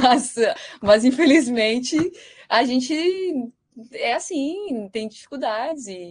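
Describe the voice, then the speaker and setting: A high-pitched woman talks very slowly with lively intonation, big swings in loudness, and long, frequent pauses. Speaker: researcher. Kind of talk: lecture. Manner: halting.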